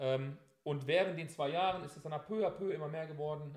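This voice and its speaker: There is some breathiness to this voice. Its pitch moves up and down normally. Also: man. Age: 30s. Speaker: soldier. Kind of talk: interview. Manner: hesitant, many filler sounds.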